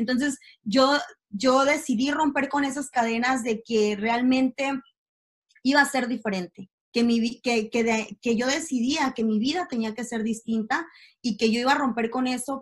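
A woman's high voice moves at a moderate tempo, its pitch varying in an ordinary way. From Mexico City. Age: 20s. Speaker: entrepreneur. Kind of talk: interview. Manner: halting, repeats words.

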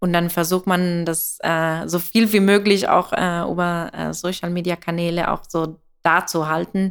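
A woman speaks with an Italian accent at a fairly slow pace, her pitch fairly low. Her intonation is monotone and flat, and the recording is very clean with a silent background. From Italy. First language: Italian (speaking German). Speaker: coffee roaster and business founder. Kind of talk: interview. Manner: hesitant, many fillers.

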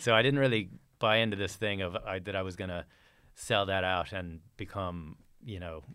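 At a fairly quick pace, a man with an American accent speaks in a very deep, low pitch with ordinary pitch variation. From Texas, Fort Worth. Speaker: churchgoer sharing conversion story. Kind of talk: testimony.

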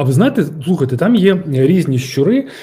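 This man has a dark, mellow tone. His voice is somewhat breathy. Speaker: former security service officer, security expert. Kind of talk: interview. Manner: halting, with filler sounds.

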